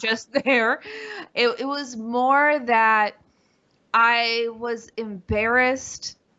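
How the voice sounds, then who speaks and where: At a very slow pace, a woman speaks in a fairly high pitch with flat, monotone intonation. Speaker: stand-up comedian, author, keynote speaker. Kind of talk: interview answer.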